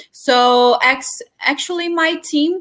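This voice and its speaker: A woman with a Brazilian Portuguese accent, a bright, sharp tone and ordinary pitch variation, on a very clean recording with a silent background. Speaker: journalist, distribution lead. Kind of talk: panel discussion. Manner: halting.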